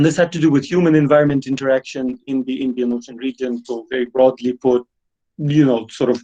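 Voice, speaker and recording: A man with a Russian accent, dark and mellow in tone, fairly quick with fairly even intonation, in a dry, close sound with no echo. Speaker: history professor. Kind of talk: online lecture. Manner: halting, many fillers.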